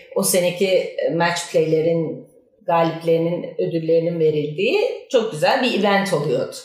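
Amid noticeable background noise and audible room echo, a woman speaks at a fairly low pitch and a moderate pace with fairly even intonation. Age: 50s. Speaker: amateur golfer. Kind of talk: casual chat.

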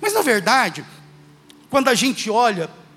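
With very wide pitch swings, a man speaks fairly quickly through noticeable background noise. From Minas Gerais, Brazil (Uberlândia). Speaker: guest preacher. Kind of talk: sermon. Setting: church.

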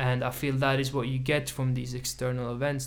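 Flat and monotone, a man's medium-pitched voice keeps a moderate pace. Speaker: podcast host. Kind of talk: casual chat.

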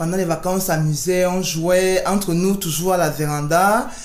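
Woman with a fairly low pitch at a moderate pace, monotone and flat in intonation, with audible room echo. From Cameroon. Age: 30s. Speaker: business owner. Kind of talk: interview. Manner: halting.

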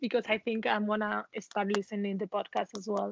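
In a Spanish accent, a woman speaks at a fairly high pitch. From Spain. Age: 20s. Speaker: expat professional. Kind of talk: interview.

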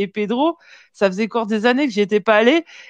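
A woman talks with lively intonation. The sound is dry and close with no echo, over a quiet background. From southern France, Marseille and Vaucluse. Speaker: metal web show host. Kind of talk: casual live-stream chat. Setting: online live stream with remote guests.

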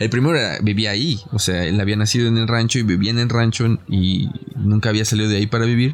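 Speaking very fast with a Mexican accent, a man with a fairly low voice keeps his loudness very even and his intonation fairly even. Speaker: podcast host. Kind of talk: casual chat.

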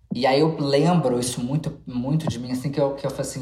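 A woman speaks with a very deep, low pitch and fairly even intonation. Audible room echo and noticeable background noise are present. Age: 30s. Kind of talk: casual chat.

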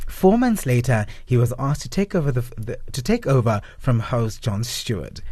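A man's somewhat breathy, dark and mellow voice of medium pitch, at a moderate pace with lively intonation and hardly any pauses. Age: 30s. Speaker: radio co-host. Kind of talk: reading from notes; casual radio chat.

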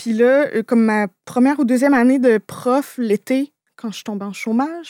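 In a very clean recording with a silent background, a woman speaks with a fairly high pitch and a dark, mellow tone, her pitch varying normally and the sound dry and close with no echo. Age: 30s. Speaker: YouTuber. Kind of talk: casual chat.

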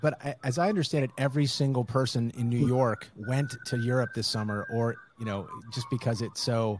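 A man speaks at a medium pitch and a fairly quick pace. He has an unremarkable speaking voice with ordinary pitch variation. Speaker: podcast host. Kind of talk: casual interview.

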